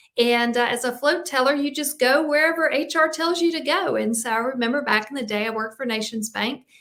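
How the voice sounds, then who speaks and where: In a Southern US accent, a woman speaks with a high pitch and ordinary pitch variation. She barely pauses at all. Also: fairly quick pace. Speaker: executive coach and podcast host. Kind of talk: live stream talk on leadership. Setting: live video stream.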